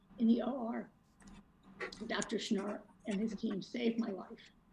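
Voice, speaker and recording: Over noticeable background noise, a woman talks with monotone, flat intonation. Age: 70s. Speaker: resident speaking at public comment. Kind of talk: public comment.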